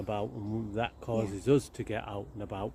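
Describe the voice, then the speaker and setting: Somewhat breathy and fairly low, the man's voice has a dark, mellow tone and ordinary pitch variation. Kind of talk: casual conversation to camera.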